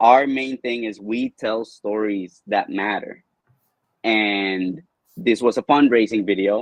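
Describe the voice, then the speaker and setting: Very slow speech with a Spanish accent and ordinary pitch variation. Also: man, medium pitch for a man. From Colombia. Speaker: video producer and entrepreneur. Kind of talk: interview.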